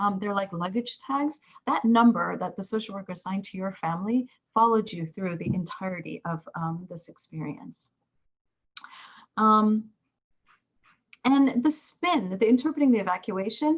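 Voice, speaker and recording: With long, frequent pauses, a woman at medium pitch talks at a moderate pace, somewhat breathy, her intonation lively and her loudness swinging widely. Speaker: professor of social work. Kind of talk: lecture. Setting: video call. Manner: halting, many fillers.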